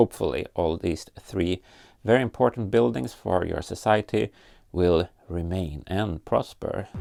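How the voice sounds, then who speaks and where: A man talks at a moderate pace in a Scandinavian accent. His pitch varies in an ordinary way. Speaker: LEGO builder and YouTuber. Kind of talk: casual vlog tutorial.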